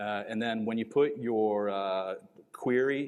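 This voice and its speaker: A man speaks at a medium pitch with fairly even intonation over a quiet background. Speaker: conference speaker. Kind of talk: conference Q&A. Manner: fast.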